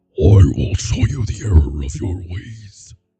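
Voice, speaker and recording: In a put-on character voice, a man growls at a fairly slow pace, gruff and very deep in pitch. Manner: menacing.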